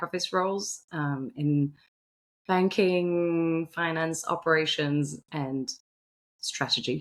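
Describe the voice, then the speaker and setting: In a slight French accent, a woman speaks with a fairly low pitch and ordinary pitch variation. The recording is very clean, with a silent background. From Belgium. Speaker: finance executive. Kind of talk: interview. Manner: hesitant, many fillers and repeats.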